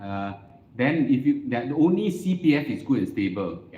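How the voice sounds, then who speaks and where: In a Singaporean accent, a man talks at a moderate pace with a medium pitch, a dark, mellow tone and very wide pitch swings, with audible room echo. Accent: Singaporean English (Singlish). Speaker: investment educator and host. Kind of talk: casual interview before live audience. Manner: loud; animated.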